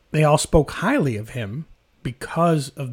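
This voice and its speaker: Speaking with lively intonation, a man with a fairly high, somewhat breathy voice comes through in a very clean recording over a silent background. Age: 30s. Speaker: podcast host. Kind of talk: casual chat.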